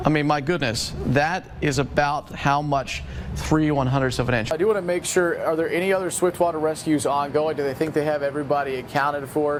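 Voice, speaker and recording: A man with a fairly high voice talks at a fairly quick pace with hardly any pauses and fairly even intonation. His loudness stays very even against noticeable background noise. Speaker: TV meteorologist. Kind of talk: TV weather broadcast.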